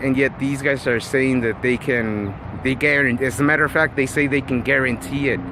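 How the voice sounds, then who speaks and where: Amid noticeable background noise, a man speaks at a fairly quick pace with fairly even intonation and very even loudness. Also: medium pitch for a man. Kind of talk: casual vlog monologue. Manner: halting, many fillers and repeats.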